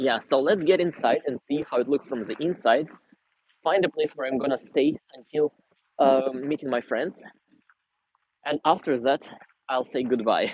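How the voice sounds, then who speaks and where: In a Russian accent, a man speaks at a moderate pace with a fairly high pitch, ordinary pitch variation and long, frequent pauses. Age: 20s. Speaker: vlogger. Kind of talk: livestream Q&A and city tour. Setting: outdoors walking in city. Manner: casual, conversational.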